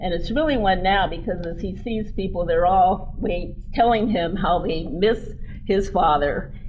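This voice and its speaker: A woman talks fairly slowly, and audible room echo hangs around her words. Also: medium pitch for a woman, ordinary pitch variation. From US West, Denver, Colorado. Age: 70s. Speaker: keynote speaker, former mayor. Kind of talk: keynote speech. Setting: convention stage with audience.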